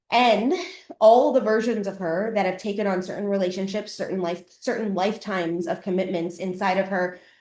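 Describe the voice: A woman speaks at a moderate pace with a slightly mellow tone, and the room gives an audible echo. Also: medium pitch for a woman, fairly even intonation.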